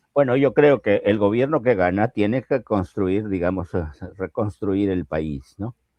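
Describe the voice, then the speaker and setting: A man's fairly low, dark, mellow voice with lively intonation, a fairly slow pace, and a dry, close sound with no echo. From Peru, Piura highlands. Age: 80s+. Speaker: political analyst. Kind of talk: interview. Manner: animated.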